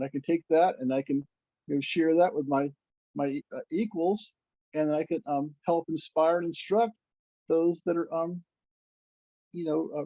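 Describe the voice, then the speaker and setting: This man's voice has a dark, mellow tone and a high pitch, with ordinary pitch variation and long, frequent pauses. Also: dry, close sound with no echo. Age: 60s. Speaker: devotee. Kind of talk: casual chat. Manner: halting.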